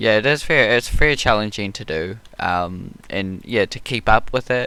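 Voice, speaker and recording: With a slight New Zealand accent, a man speaks at a moderate pace in a bright, sharp tone, his loudness swinging widely. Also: medium pitch for a man, ordinary pitch variation. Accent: New Zealand, mild, some hear American. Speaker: YouTube art channel host. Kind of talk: casual chat. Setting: live stream while painting.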